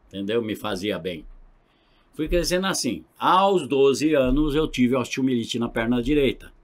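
Against a quiet background, the speech moves at a fairly slow pace with very wide pitch swings. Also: man, medium pitch for a man. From interior of São Paulo state (Marília); São Paulo state, Brazil. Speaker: pastor and gospel band vocalist; pastor. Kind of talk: testimony. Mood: earnest, reflective storytelling. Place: studio. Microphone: studio mic.

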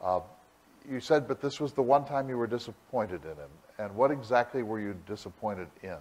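A man speaks at a fairly quick pace with lively intonation and big swings in loudness. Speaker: symposium moderator; moderator at podium. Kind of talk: Q&A discussion. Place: stage. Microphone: podium.

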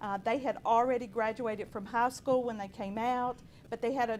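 With an American accent, a woman is heard on a very clean recording against a silent background. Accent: southern West Virginia, sounds like Tennessee. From southern West Virginia. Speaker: parent and nurse. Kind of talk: public comment. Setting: school board meeting. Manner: halting, many fillers.

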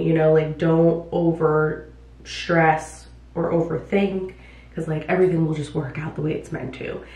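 With an American accent, a woman talks at a fairly low pitch, and the room echo is audible. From New York City (Bronx) until age 10. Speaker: vlogger and hairstylist; vlogger. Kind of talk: casual vlog talk to camera. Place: bathroom.

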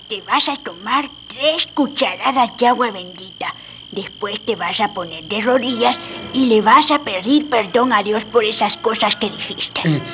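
Against clear background noise, a woman speaks at a fairly high pitch with lively intonation. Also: moderate pace. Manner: gruff, scolding, then commanding.

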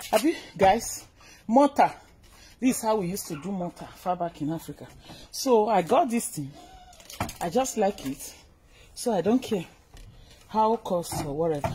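Very wide pitch swings and big swings in loudness over light background noise. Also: woman. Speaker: vlogger showing a purchase. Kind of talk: casual vlog chat. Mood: cheerful, pleased. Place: garden.

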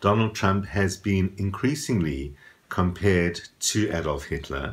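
Very deep and low in pitch, a man speaks at a fairly slow pace with ordinary pitch variation. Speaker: astrology vlogger. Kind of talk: casual vlog commentary. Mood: calm, thoughtful. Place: home room.

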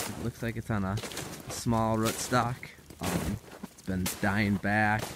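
The sound is dry with no echo as a man speaks at a fairly slow pace amid noticeable background noise. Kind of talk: casual vlog chat. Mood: relaxed, thoughtful. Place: open country. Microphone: phone near.

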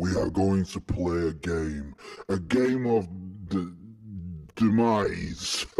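In a put-on character voice, a man speaks very slowly with a very deep, low pitch and long, frequent pauses. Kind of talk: horror villain theatrics. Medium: read story. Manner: menacing, theatrical.

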